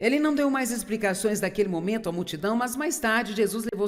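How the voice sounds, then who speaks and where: A woman speaks in an unremarkable speaking voice. Her pitch is fairly high, with ordinary pitch variation. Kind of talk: sermon.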